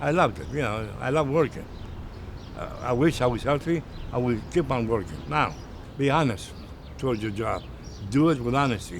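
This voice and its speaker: Over noticeable background noise, a medium-pitched man talks at a moderate pace with lively intonation and long, frequent pauses. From Greece. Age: old. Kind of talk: interview answer.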